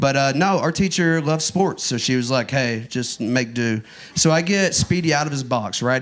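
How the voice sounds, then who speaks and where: At a moderate pace, a man talks in an East Texas accent with ordinary pitch variation. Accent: Southern US, East Texas. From Northeast Texas. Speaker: stand-up comedian. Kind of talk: stand-up comedy set. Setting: comedy club stage.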